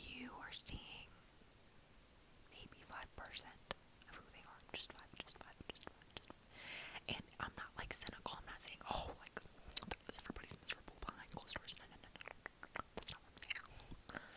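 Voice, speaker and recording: Whispering at a moderate pace, a woman leaves long, frequent pauses, her loudness swinging widely, with noticeable background noise. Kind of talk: ASMR whisper ramble. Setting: studio, close microphone with gum chewing and mouth noises. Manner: whispered, soft, casual.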